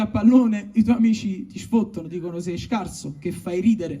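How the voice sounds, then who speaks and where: Music is playing in the background. A man speaks at a moderate pace with ordinary pitch variation. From Naples, Italy. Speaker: stand-up comedian. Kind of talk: comic letter read aloud. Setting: live stage with audience.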